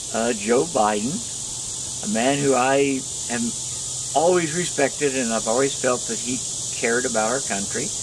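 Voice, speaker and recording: Against noticeable background noise, a man with an American accent speaks at a moderate pace and a fairly high pitch, his intonation lively. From Kansas, USA. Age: old. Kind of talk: casual talk to camera. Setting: outdoors.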